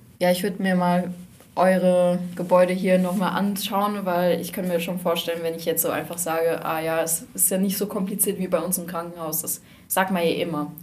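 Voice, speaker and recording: Amid audible room echo, a woman with a fairly low pitch speaks at a moderate pace in a monotone, flat intonation. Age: young. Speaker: hospital volunteer. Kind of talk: casual chat. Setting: studio.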